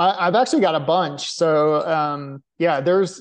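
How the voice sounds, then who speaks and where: A man with a normal speaking voice and fairly high pitch talks at a moderate pace with ordinary pitch variation over a quiet background. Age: 40s. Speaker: professional ultramarathon runner. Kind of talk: casual chat.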